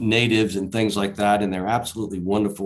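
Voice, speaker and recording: The speaker is a man with a Southern Virginia accent. The background is quiet. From Southside Virginia. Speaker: conference speaker, erosion control contractor. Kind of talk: conference presentation. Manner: many fillers and repetitions.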